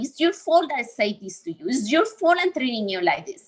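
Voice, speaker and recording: In a very clean recording with a silent background, a woman with a non-native accent speaks in a bright, sharp tone with lively intonation. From Colombia. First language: Spanish. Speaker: speaker on healing from abusive relationships. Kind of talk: talk in a livestreamed session.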